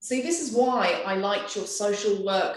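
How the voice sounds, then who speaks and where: A woman speaks with an English accent, and audible room echo surrounds her voice. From England. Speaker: artist. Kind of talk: interview conversation.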